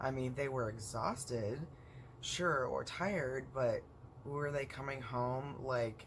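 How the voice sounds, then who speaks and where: Amid audible room echo, a man speaks very slowly at a medium pitch with fairly even intonation. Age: 40s. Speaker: vlogger with chronic illness. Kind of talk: personal vlog monologue. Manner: hesitant, many fillers.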